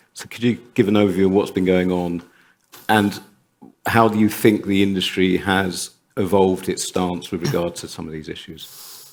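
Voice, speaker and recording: A man with a British accent speaks at a very deep, low pitch, his intonation fairly even while his loudness swings widely. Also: moderate pace. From UK. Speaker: panel moderator. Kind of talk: conference panel discussion.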